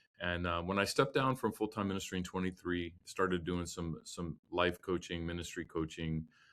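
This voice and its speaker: On a very clean recording with a silent background, a man with a very deep, low pitch speaks at a moderate pace and fairly even intonation. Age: 60s. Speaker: former worship pastor and health coach. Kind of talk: interview. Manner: hesitant, many fillers and repeats.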